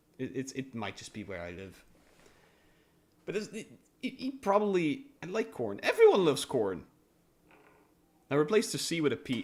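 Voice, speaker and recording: Vocal fry at a moderate pace in a Dutch accent, with very wide pitch swings, big swings in loudness, and long, frequent pauses. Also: man, fairly high pitch for a man. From Netherlands. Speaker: streamer. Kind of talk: casual chat.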